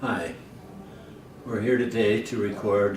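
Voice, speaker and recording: With an American accent, a man of medium pitch speaks at a fairly slow pace in a monotone, flat intonation, amid audible room echo and noticeable background noise. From US West, Pocatello, Idaho. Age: 70s. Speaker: elderly man recording childhood memories. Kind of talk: casual reminiscing.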